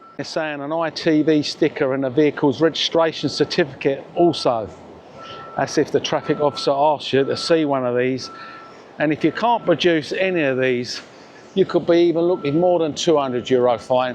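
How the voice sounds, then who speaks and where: Speaking in a Cockney accent at a moderate pace, a man with a fairly high pitch and ordinary pitch variation is heard over noticeable background noise. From London (Cockney). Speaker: vlogger. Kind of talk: walking vlog. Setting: outdoors. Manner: casual, with fillers.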